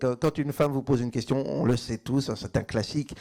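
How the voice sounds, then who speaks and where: At a fairly slow pace, a man delivers his words. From Belgium. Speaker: stand-up comedian. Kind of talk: live stand-up comedy set.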